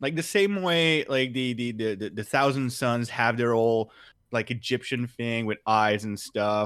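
A man with an ordinary speaking voice talks at a medium pitch and a fairly slow pace. The recording is very clean, with a silent background. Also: ordinary pitch variation. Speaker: podcast co-host. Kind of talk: casual chat.

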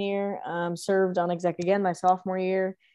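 Here is a woman with an ordinary speaking voice at medium pitch. She talks at a fairly quick pace. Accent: American. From Texas, The Woodlands. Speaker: student charity organizer. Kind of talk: casual interview.

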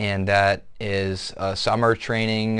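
Against a quiet background, a man with an American accent speaks in a monotone, flat way. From Southwest Michigan. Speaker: military academy cadet. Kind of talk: interview. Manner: hesitant, many fillers.

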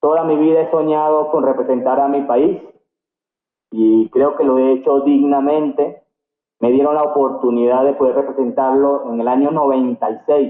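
A man with a fairly high pitch speaks at a fairly slow pace. His intonation is monotone and flat, and his loudness stays very even. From Venezuela, Barquisimeto (Lara state). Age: 40s. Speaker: karate champion and coach. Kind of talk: interview.

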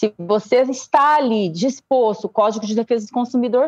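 The woman's voice sits at a fairly high pitch, with a dry, close sound and no echo. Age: 40s. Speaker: business owner and compliance specialist. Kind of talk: radio interview.

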